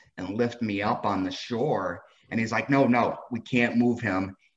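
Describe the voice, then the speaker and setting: Here is a man with an American accent and a normal speaking voice. He moves at a fairly slow pace with fairly even intonation. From Texas, Fort Worth. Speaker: author and athlete with spinal cord injury. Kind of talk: interview.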